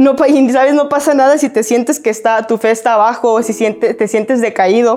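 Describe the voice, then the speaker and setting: Noticeable background noise sits behind a woman whose fairly high voice keeps fairly even intonation and very even loudness. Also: moderate pace. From Mexico, Guadalajara. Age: 20s. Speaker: youth preacher, church staff. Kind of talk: sermon. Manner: casual, conversational.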